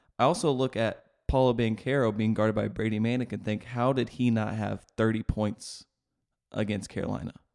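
Here is a man with an unremarkable speaking voice at a medium pitch. He talks at a fairly quick pace with fairly even intonation over a quiet background. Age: 20s. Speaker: sports podcast co-host. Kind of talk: casual sports chat.

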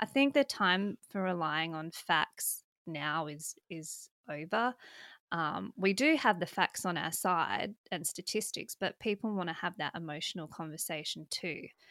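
A voice with an Australian accent speaks at a fairly slow pace, with lively intonation and a bright, sharp tone. The recording is very clean, with a silent background and a dry, close sound with no echo. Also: woman, fairly low pitch for a woman. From South Australia, country. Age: 30s. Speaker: political commentator and libertarian politician. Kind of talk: casual interview.

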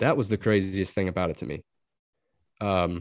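Against a quiet background, a man talks at a moderate pace with a Texas Gulf Coast accent. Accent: Texan Gulf Coast American. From southeast Texas. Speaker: duck hunter. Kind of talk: casual chat.

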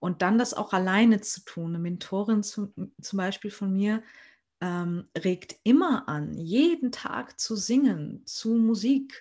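A woman's somewhat breathy voice with lively intonation, at a very slow pace against a quiet background. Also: medium pitch for a woman. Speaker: podcast host and trained musical performer. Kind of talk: casual interview chat.

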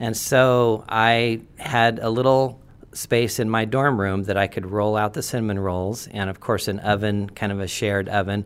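With an American accent, a man talks at a moderate pace with fairly even intonation and hardly any pauses. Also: fairly low pitch for a man. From Portland, Oregon, US Pacific Northwest. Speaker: church elder. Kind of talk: testimony. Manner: halting.

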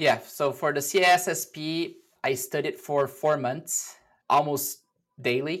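A very slow delivery in a Portuguese accent, with fairly even intonation and a very clean recording over a silent background. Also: man, fairly high pitch for a man. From Brazil. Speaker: cybersecurity executive. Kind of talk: interview.

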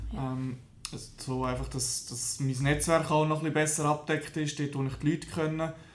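Monotone, flat intonation amid audible room echo and noticeable background noise. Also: man, fairly high pitch for a man, moderate pace. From Switzerland, canton of Lucerne. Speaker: small business founder. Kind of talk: interview. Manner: halting.

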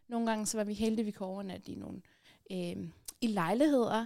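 A woman's fairly high voice, dark and mellow in tone, with monotone, flat intonation on a very clean recording with a silent background. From Afghanistan, raised in Denmark. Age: 30s. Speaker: activist and columnist. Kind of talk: casual interview. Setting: studio.

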